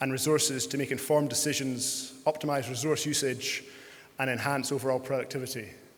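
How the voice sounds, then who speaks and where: A man's fairly high, monotone, flat voice at a fairly quick pace, with audible room echo and noticeable background noise. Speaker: panel moderator and farmer. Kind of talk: panel discussion moderation. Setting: conference stage with audience. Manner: hesitant, many fillers.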